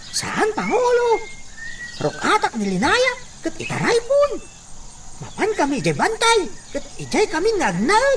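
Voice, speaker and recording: A put-on character voice moves at a fairly slow pace with long, frequent pauses. Clear background noise runs underneath. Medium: audio drama.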